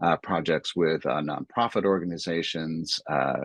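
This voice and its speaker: Recorded with a dry, close sound and no echo, a man with an American accent speaks at a moderate pace in a very deep, low pitch with fairly even intonation. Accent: American accent noticeable. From United States. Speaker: arts producer and writer. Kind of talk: talk in online dialogue. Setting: online video event. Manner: hesitant, many fillers.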